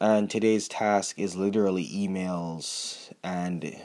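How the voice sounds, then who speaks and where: With fairly even intonation, a man speaks in a very deep, low voice. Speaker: podcaster and entrepreneur. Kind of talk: casual solo monologue. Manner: quick informal talk.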